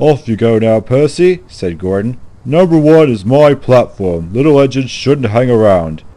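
Intonation here is lively. The reading voice sounds unforced.

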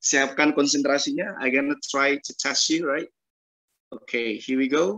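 A man's fairly high voice, bright and sharp, with ordinary pitch variation at a moderate pace against a quiet background. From Indonesia. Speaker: English test tutor. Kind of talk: online class. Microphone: video call.

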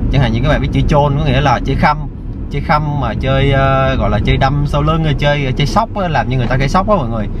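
A man's very fast speech, dry with no echo, over loud background noise. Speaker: vlogger. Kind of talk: casual vlog chat. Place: car. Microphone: phone near.

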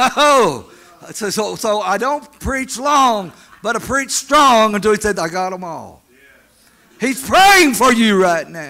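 The voice is raised and projected. It moves at a very slow pace. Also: man, high pitch for a man. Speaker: preacher. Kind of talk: sermon. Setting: church meeting with audience. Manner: crowd-engaging, exhorting. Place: church. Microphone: handheld.

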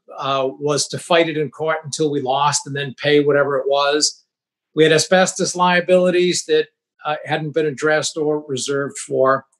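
A man at a moderate pace, flat and monotone in intonation, against a quiet background. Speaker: remote interview guest. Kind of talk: interview answer. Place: home room. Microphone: video call.

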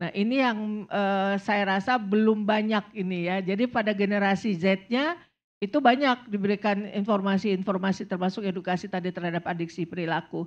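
The speech moves at a fairly quick pace with hardly any pauses. Pitch varies in an ordinary way over a quiet background. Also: woman. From Indonesia. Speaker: substance abuse doctor; panel expert. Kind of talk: panel talk. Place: stage. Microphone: handheld.

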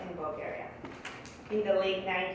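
A woman speaks at a moderate pace with lively intonation. Strong room echo and noticeable background noise surround her voice. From Bulgaria. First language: Bulgarian. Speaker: economist. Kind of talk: speech. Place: hall.

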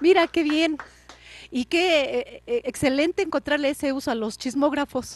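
A woman speaks at a fairly slow pace with a high pitch and lively intonation. The sound is dry with no echo, and there is light background noise. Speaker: TV program host. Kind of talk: interview. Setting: studio. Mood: warm, smiling. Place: studio. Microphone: handheld.

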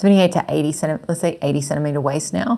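With an Australian accent, a woman talks at a very deep, low pitch. The background is quiet. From Chile. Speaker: knitting and sewing vlogger; sewing vlogger. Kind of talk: casual monologue. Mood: warm, pleased. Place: home room. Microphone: lapel.

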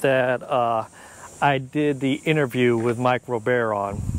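Against noticeable background noise, a man speaks at a fairly slow pace with fairly even intonation, the sound dry with no echo. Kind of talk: casual vlog chat. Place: street. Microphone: lapel.

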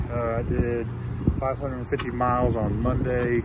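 The sound is dry, with no echo. Loud background noise runs underneath. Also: man. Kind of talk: casual vlog chat. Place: open country. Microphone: headset.

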